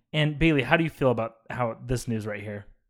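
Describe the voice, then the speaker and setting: A man with an unremarkable speaking voice talks at a moderate pace in a very clean recording with a silent background. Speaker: podcast host, film discussion. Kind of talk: casual chat.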